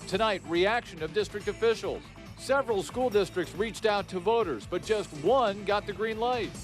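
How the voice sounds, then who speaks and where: Music plays in the background. Over it, a man talks at a high pitch with fairly even intonation. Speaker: news anchor. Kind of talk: TV news anchor read.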